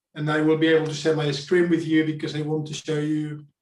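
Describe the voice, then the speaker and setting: A man with a fairly high-pitched voice. The room echo is audible. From Spain. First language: Spanish. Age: 40s. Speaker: public speaking coach. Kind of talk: talk to online group. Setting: video call.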